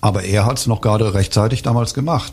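A man's dark, mellow, somewhat breathy voice at a fairly low pitch, with ordinary pitch variation. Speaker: author and publisher. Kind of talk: interview about his book. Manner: halting with many fillers.

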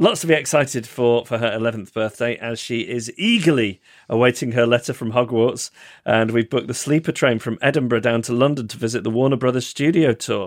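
Recorded very cleanly against a silent background, a man with a British accent speaks at a fairly quick pace with ordinary pitch variation. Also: medium pitch for a man. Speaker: podcast co-host. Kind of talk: casual chat. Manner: chatty, hesitant with fillers.

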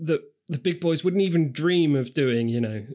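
A man speaks with a British accent at a moderate pace. The background is quiet. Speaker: podcast co-host. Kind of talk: casual chat.

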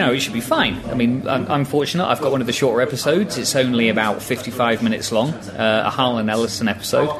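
Very fast and with hardly any pauses, a man speaks at medium pitch and very even loudness, with audible room echo and noticeable background noise. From northeast England, Newcastle. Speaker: transcription volunteer. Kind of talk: casual chat. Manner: hesitant.

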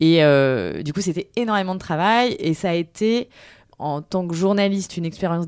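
A fairly low-pitched woman at a moderate pace with ordinary pitch variation, in a very clean recording with a silent background. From France, Tours. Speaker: journalist and podcaster. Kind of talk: interview. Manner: hesitant, many fillers.

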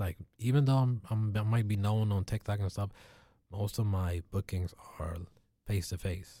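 Dark and mellow in tone, a man's fairly low voice comes out somewhat breathy with fairly even intonation. His pace is moderate, with long, frequent pauses. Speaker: entertainer and food critic. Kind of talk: casual interview. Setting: studio.

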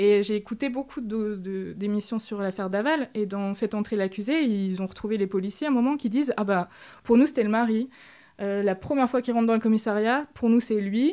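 A woman with an ordinary speaking voice talks at a fairly quick pace in a fairly high pitch. The recording is very clean, with a silent background. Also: ordinary pitch variation. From France, small village. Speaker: author and feminist activist. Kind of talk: interview.

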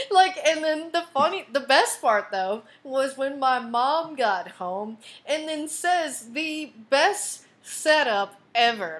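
Speaking very slowly with an American accent, a woman uses a high pitch that swings very widely. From Texas, Tyler. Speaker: podcast host and comedian. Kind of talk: casual chat.

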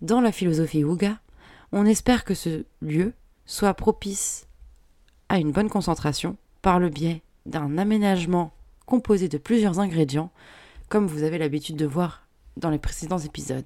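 A woman speaks at a moderate pace with a dark, mellow tone, leaving long, frequent pauses. The recording is very clean, with a silent background. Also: fairly low pitch for a woman, ordinary pitch variation. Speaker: podcast host on home decoration. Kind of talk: relaxed podcast monologue.

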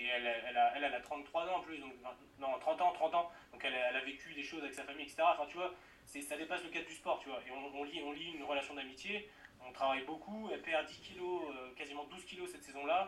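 A man with fairly high pitch rattles along at a very fast pace, with big swings in loudness and ordinary pitch variation, over noticeable background noise. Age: 20s. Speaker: strength and conditioning coach. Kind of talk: casual interview.

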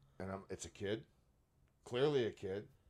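With a Canadian accent, a man talks in a fairly low pitch with vocal fry. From Canada (Brampton, Ontario). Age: 40s. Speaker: comedian and magician. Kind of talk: casual chat.

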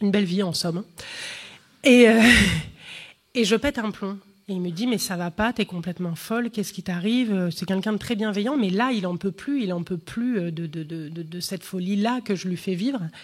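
This woman talks at a moderate pace with a medium pitch. Her pitch varies in an ordinary way, broken by long, frequent pauses. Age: 30s. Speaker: comedian. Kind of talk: testimony.

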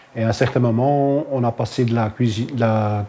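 At a fairly slow pace, a man speaks in a medium pitch. His pitch varies in an ordinary way. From Flemish Belgium, Halle. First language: Dutch (speaking French). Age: 50s. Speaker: hospital kitchen manager. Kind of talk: interview testimony. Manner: halting.

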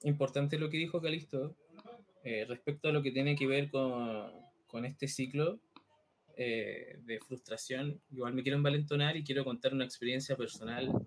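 A man with a plain, everyday voice, fairly high in pitch, with fairly even intonation. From Chile, Santiago. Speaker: podcast co-host. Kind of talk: casual chat.

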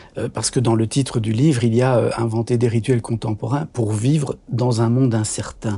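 A man at a moderate pace and medium pitch, with fairly even intonation. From Belgium, Brussels. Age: 60s. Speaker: doctor and author. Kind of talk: interview conversation. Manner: hesitant, many fillers.

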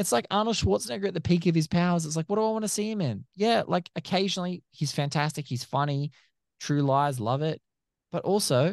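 A man with an Australian accent, lively intonation and a fairly quick pace, in a dry, close sound with no echo over a quiet background. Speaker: film critic and podcaster. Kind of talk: casual chat.

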